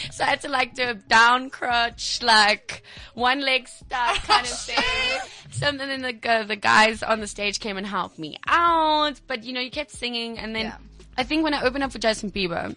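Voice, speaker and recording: Against noticeable background noise, a woman speaks in a high pitch at a moderate pace with ordinary pitch variation. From South Africa, Mpumalanga. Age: 20s. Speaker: singer. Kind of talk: casual interview.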